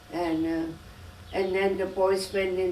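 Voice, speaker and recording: Over noticeable background noise and audible room echo, a woman speaks at a medium pitch with monotone, flat intonation. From Germany. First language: German. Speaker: immigrant interviewee, grandmother. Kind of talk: oral history interview. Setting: home interview. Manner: halting.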